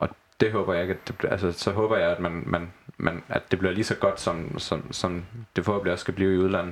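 Very fast and monotone, a man speaks with flat intonation at a very deep, low pitch. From Southern Jutland, Denmark. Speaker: football club fan and former club graphic designer. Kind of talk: casual chat. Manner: halting with repeated words.

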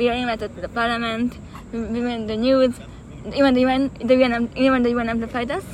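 A woman with a high pitch talks at a fairly quick pace in a monotone, flat intonation against noticeable background noise. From Hungary, Budapest. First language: Hungarian. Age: 20s. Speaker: peace activist. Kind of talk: interview. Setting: outdoors in a park.

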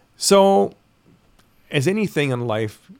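Speaking with a Canadian accent, a man talks. His pitch swings very widely. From Ontario, Canada. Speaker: concert promoter. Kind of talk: casual chat.

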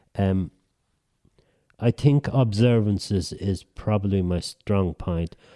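Over a very clean recording and a silent background, a man speaks very slowly with long, frequent pauses. His pitch is fairly low with ordinary variation, and the sound is dry and close with no echo. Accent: Irish. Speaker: writer. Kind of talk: casual chat.

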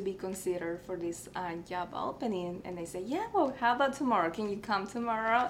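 Very fast woman's speech at medium pitch, ordinary pitch variation, with audible room echo. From Mexico, Tamaulipas border town. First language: Spanish. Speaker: artist and art teacher. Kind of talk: interview.

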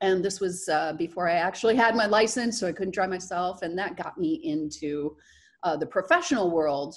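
Here is a woman with an American accent and a plain, everyday voice at medium pitch. She speaks at a moderate pace against a quiet background. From US Midwest, southern Michigan. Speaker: actress and burlesque performer. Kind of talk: casual interview.

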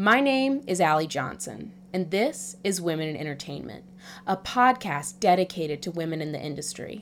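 A plain, everyday voice from a woman, fairly low in pitch at a moderate pace, on a very clean recording with a silent background. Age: 20s. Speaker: podcast host. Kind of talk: scripted narration.

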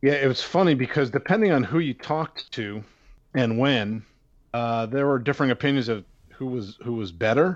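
A man with an American accent and a normal speaking voice talks at a medium pitch and moderate pace with lively intonation against a quiet background. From Pittsburgh, US. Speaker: baseball prospects analyst. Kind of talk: interview.

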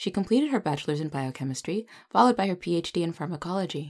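On a very clean recording with a silent background, a woman with a fairly low pitch speaks at a fairly quick pace in a normal speaking voice. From United States. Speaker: podcast host. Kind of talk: interview; scripted introduction.

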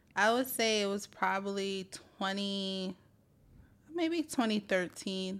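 Talking at a very slow pace, a woman in a New York accent keeps a medium pitch with ordinary pitch variation. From New York City (Brooklyn, Staten Island). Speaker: union organizer. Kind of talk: interview.

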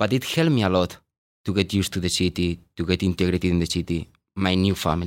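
A man with a Spanish accent speaks at a very deep, low pitch, a moderate pace and fairly even intonation. The sound is dry and close with no echo, and the recording is very clean with a silent background. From Spain. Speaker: payroll supervisor. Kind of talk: interview.

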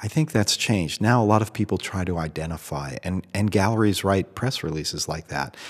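A man with an American accent speaks at a fairly quick pace in a normal speaking voice, fairly low in pitch, with lively intonation on a very clean recording with a silent background. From US Northeast, Boston. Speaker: photographer and MFA program director. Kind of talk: interview. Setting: hotel room.

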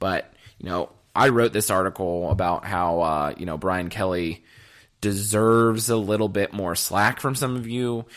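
A man speaks at a moderate pace in a fairly low pitch. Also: ordinary pitch variation. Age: 20s. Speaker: sports podcast host. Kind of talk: solo sports commentary podcast. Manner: animated.

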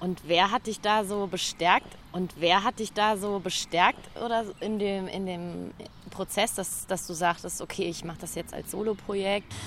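A woman's medium-pitched voice, an ordinary speaking voice, at a fairly slow pace with fairly even intonation. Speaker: podcast host. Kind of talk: casual interview. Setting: outdoors.

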